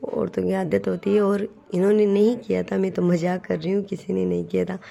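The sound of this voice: Speaking at a fairly quick pace, a woman has a dark, mellow tone and medium pitch with vocal fry. There is little pitch movement.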